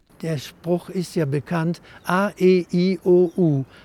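Very slowly, a man speaks at a high pitch in a dark, mellow tone with fairly even intonation and a dry, close sound without echo. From Cologne, western Germany. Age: 80s+. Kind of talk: interview.

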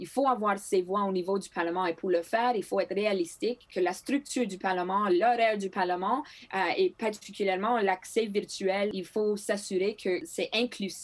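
A woman with a Greek accent, medium pitch, ordinary pitch variation and a moderate pace. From northern Manitoba, Canada (Thompson). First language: Greek (speaking French). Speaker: politician. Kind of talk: interview. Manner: halting with repetitions.

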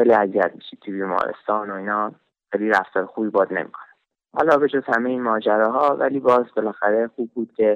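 A man with a fairly low pitch talks at a very fast pace, his loudness swinging widely while his pitch varies in an ordinary way. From Iran, Shiraz. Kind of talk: personal testimony. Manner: halting.

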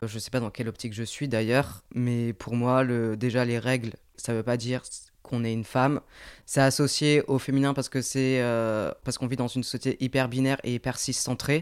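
A man speaks at a moderate pace with a medium pitch and a flat, monotone intonation. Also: very clean recording, silent background. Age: 20s. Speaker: podcast co-host. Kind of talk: casual chat.

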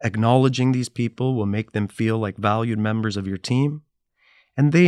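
Against a quiet background, with a dry, close sound and no echo, a man with a normal speaking voice talks at a moderate pace in a medium pitch with ordinary pitch variation. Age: 40s. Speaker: podcast host. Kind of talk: scripted narration; casual interview. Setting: studio.

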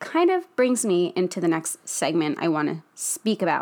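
A woman with an American accent speaks in an animated tone at a fairly slow pace. The recording is very clean, with a silent background. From New Jersey, US. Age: 20s. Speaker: podcast host, fitness influencer. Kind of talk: casual solo monologue.

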